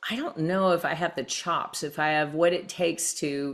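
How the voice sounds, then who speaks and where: On a very clean recording with a silent background, a woman speaks with a very deep, low pitch, vocal fry and fairly even intonation. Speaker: CEO and leadership speaker. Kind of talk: interview.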